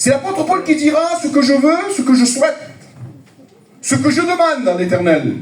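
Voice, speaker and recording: In a room with audible echo and noticeable background noise, a man with an extremely high voice speaks in an animated tone at a moderate pace, leaving long, frequent pauses. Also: lively intonation. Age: 50s. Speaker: preacher. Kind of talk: sermon.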